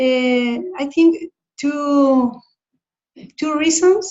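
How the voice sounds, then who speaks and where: Speaking with a Spanish accent, a woman talks at a very slow pace. Her voice is high, with ordinary pitch variation. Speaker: focusing coordinator in training. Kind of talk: online meeting sharing. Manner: halting.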